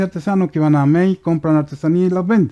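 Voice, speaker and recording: The tone is dark and mellow, at a fairly quick pace. The background is quiet. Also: man. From Chile, Aconcagua Valley (Curimón); Chile. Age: 50s. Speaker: woodworking craftsman; guest. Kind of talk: casual interview; interview answer. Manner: halting. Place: studio. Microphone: headset.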